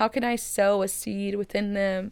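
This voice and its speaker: A woman of medium pitch speaks with an American accent. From Texas, Waco. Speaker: entrepreneur and college student. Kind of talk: interview.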